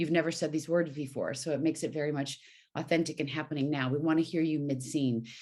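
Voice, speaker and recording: A woman talks very fast in a very deep, low voice, with a flat, monotone delivery. Her tone is dark and mellow, and the recording is very clean against a silent background. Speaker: voice actor and voiceover coach. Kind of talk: interview. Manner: clear diction and projection.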